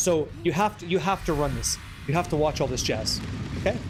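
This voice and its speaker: A man's fairly high voice with ordinary pitch variation, at a fairly quick pace. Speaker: streamer. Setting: game commentary. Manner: fast talker.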